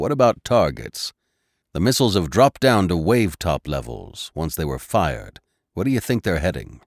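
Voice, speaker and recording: A man puts on a gruff character voice with a very deep, low pitch and very wide pitch swings at a moderate pace. The sound is dry and close with no echo, on a very clean recording with a silent background. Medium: read story. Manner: gruff, clipped.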